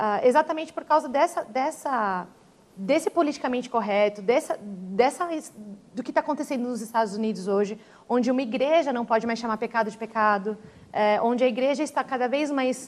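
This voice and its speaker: Speaking fairly quickly, a woman uses a high pitch. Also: ordinary pitch variation. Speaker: language teacher and church member. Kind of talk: TV panel discussion. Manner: halting, many repetitions.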